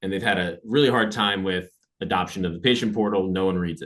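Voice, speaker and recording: Very deep, low male voice, fairly quick in pace, with ordinary pitch variation. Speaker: AI consultant presenter. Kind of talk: webinar presentation. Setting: webinar. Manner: fast.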